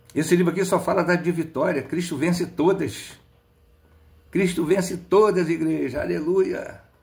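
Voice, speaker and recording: A man with a high voice talks at a fairly slow pace in a room with audible echo. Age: 60s. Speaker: lay preacher. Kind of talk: sermon. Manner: animated.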